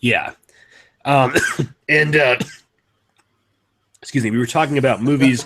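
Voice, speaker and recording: The man's pitch is fairly high, and his intonation stays monotone and flat. He keeps a moderate pace broken by long, frequent pauses. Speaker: movie podcast host. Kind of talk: casual chat.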